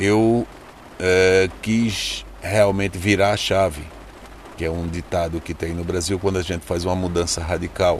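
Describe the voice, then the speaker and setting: Fairly slow, flat, monotone delivery in a northeastern Brazilian accent, over noticeable background noise. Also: man, very deep, low pitch for a man. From Brazil, Recife. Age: 50s. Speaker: journalist turned ride-share driver. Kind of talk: interview.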